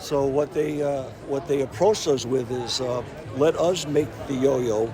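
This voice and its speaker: Moderately paced speech from a man with an American accent, noticeable background noise underneath. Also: fairly high pitch for a man, ordinary pitch variation. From New England (near Boston). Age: 70s. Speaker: yo-yo company founder. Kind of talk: interview storytelling. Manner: halting, many fillers.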